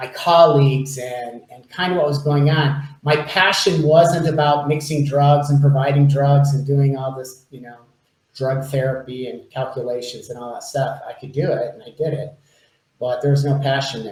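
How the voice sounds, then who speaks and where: A normal speaking voice with an American accent and fairly even intonation. Its loudness swings widely. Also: man. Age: 60s. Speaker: life coach. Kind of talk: interview.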